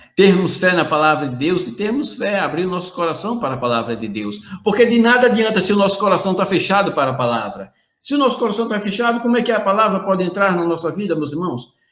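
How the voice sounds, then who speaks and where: A man's animated, very fast speech at a high pitch, with very wide pitch swings and audible room echo. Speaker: preacher. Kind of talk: sermon.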